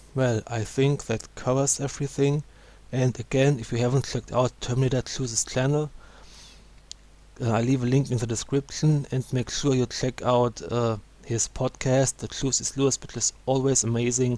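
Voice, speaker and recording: A man with a non-native accent speaks in a flat monotone with a dark, mellow tone. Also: medium pitch for a man, moderate pace. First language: not English. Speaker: gaming YouTuber. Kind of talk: video commentary.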